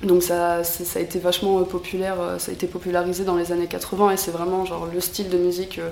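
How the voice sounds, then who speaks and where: A woman with a fairly low voice speaks flatly, in a monotone, at a fairly quick pace. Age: 20s. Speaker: metal fan and amateur guitarist. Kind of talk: casual interview. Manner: hesitant, many fillers.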